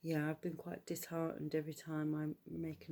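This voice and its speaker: A woman is speaking. She has a British accent. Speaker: YouTube vlogger. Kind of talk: casual vlog monologue. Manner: quiet, low-voiced; hesitant, many fillers.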